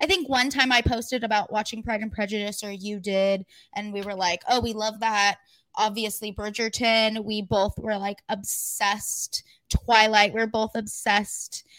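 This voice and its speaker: A woman with an American accent uses an ordinary speaking voice at a moderate pace with fairly even intonation. The recording is very clean, with a silent background. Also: fairly high pitch for a woman. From California high desert. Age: 20s. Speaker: podcast co-host. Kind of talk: casual chat.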